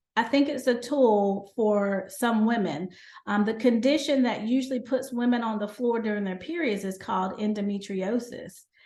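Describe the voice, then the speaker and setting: A woman with a Southern US accent speaks in a fairly high pitch, her tone dark and mellow. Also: ordinary pitch variation, moderate pace. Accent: Southern American. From North Carolina, USA. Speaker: gynecologist and lifestyle medicine physician. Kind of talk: podcast interview answer.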